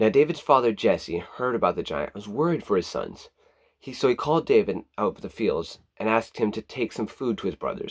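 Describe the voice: Against a quiet background, the text gets a plain reading aloud.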